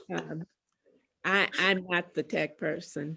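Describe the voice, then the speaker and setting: A woman speaks at a very slow pace. Her voice carries vocal fry. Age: 80s+. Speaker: panelist, elder. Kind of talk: online panel discussion.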